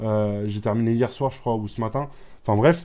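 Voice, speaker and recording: A man's dark, mellow tone at a fairly quick pace, with fairly even intonation and a quiet background. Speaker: online business youtuber. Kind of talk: screen-share tutorial. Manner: fast; repetitive, hesitant fillers.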